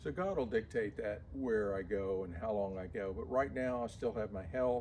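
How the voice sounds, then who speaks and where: A man speaks at a moderate pace with a dark, mellow tone, fairly low pitch and lively intonation. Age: 70s. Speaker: locksmith. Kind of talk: casual chat.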